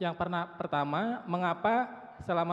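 A man talks at a fairly quick pace. His voice is high, with ordinary pitch variation. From Indonesia. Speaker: researcher, audience member; audience member. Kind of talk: audience question. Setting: auditorium with audience. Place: hall. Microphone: handheld.

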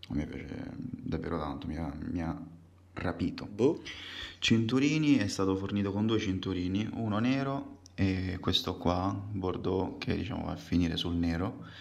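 A man's very deep, low voice with lively intonation at a moderate pace. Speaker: watch collector; watch reviewer. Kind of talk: casual video presentation. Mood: relaxed, enthusiastic. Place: home room.

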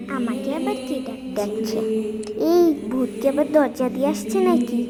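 A cartoonish character voice comes through over loud background noise. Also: female-sounding voice, high pitch for a woman, moderate pace.

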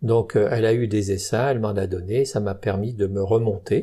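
At a fairly slow pace, a man with a medium pitch speaks in a somewhat breathy voice with a dark, mellow tone. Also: very clean recording, silent background. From Burgundy, France (Saône-et-Loire). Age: 70s. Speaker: retired beekeeper. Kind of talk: interview. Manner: hesitant.

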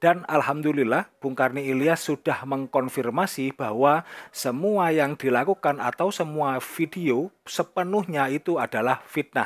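A man with an ordinary speaking voice talks at a fairly slow pace, his pitch fairly high and his pitch variation ordinary, in a dry, close sound with no echo. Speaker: Islamic YouTube commentator. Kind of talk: online religious commentary.

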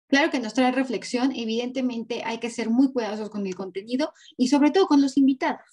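Over a quiet background, the voice has a dark, mellow tone, ordinary pitch variation and a fairly quick pace. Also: woman. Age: 30s. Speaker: graphologist and body language analyst; body language analyst. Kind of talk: interview. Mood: firm, somewhat indignant. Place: home room. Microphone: video call.

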